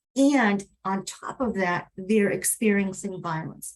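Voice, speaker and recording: A woman with a Spanish accent speaks at a fairly slow pace, her pitch medium and its variation ordinary. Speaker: advocate, webinar panelist. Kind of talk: panel webinar.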